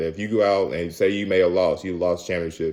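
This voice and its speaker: Recorded very cleanly with a silent background, a man with fairly low pitch and ordinary pitch variation talks at a fairly quick pace. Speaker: motivational vlogger. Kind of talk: motivational talk to camera. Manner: casual with many fillers; fast.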